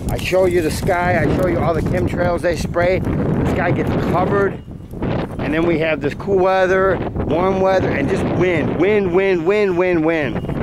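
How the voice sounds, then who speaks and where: A man at a fairly slow pace over loud background noise, dry sound with no echo. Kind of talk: casual vlog chat. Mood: suspicious, earnest complaint. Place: open country. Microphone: phone near.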